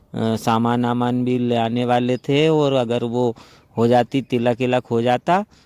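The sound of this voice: A man's medium-pitched voice, clear and smooth with a slightly mellow tone, showing little pitch movement, fairly slow, in a dry, close sound with no echo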